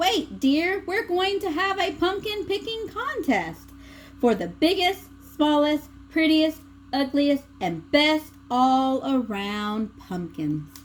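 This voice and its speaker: Using a put-on character voice, a woman speaks at a very slow pace in a high pitch with very wide pitch swings over clear background noise. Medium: read story.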